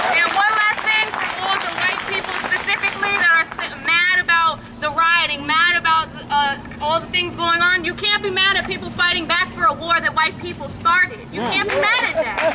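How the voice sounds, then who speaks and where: Over crowd noise, a woman with an American accent raises and projects her voice at an extremely high pitch. She keeps a moderate pace with ordinary pitch variation. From Peekskill, New York. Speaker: rally speaker. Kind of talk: protest speech. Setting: outdoor rally.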